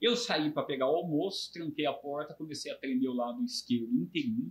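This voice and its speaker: His voice is fairly high for a man, and he moves at a fairly quick pace. The pitch swings very widely. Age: 60s. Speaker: brain tumor survivor, retired IT worker. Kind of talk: interview testimony.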